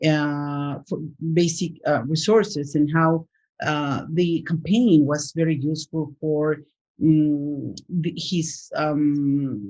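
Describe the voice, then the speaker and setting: A woman's very deep, low pitch with ordinary pitch variation, in a Spanish accent. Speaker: professor. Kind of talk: interview. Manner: halting, many fillers.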